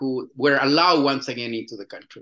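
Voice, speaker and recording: A man with a Chilean accent speaks at a fairly high pitch. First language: Spanish. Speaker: musician and filmmaker. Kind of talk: interview. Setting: phone or video call from Chile. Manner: halting.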